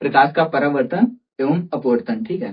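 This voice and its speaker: His intonation rises and falls in a lively way. The man's voice is fairly high in pitch. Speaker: teacher. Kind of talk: tutorial. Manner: halting; says 'theek hai' often.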